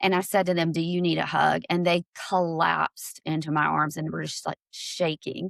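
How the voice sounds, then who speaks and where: A woman with a Southern US accent talks at a moderate pace in a dry, close sound with no echo. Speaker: LGBTQ+ ally advocate. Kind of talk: podcast interview, personal story.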